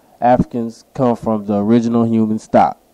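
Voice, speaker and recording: Dark and mellow in tone, a man speaks at a medium pitch and moderate pace with monotone, flat intonation. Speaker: YouTube commentator. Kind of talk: video essay, partly reading aloud from articles.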